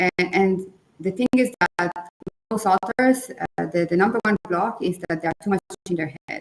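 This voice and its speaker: A woman with a non-native accent at a medium pitch, fairly slow pace and lively intonation, in a dry, close sound with no echo. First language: not English. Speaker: book coach. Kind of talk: webinar conversation.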